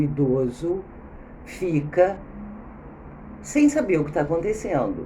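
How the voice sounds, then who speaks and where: A woman's voice carries audible room echo. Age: 60s. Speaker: video blogger. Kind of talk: spontaneous talk. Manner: halting.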